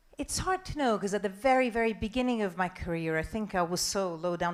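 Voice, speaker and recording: Very fast speech in an Italian accent with ordinary pitch variation. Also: woman. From Italy. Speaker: TV news presenter and journalist. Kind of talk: conference talk and Q&A.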